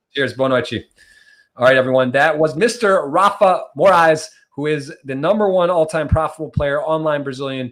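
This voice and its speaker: This man has an ordinary speaking voice with an American accent. His pitch is fairly high, with ordinary variation, and his pace is moderate. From US Midwest, Michigan. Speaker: podcast host, poker player. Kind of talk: casual interview chat.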